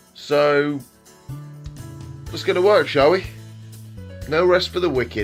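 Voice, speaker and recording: Over music in the background, a man with a fairly high pitch and lively intonation speaks fairly slowly, with long, frequent pauses. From England. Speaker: voice actor. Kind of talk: casual vlog talk to camera.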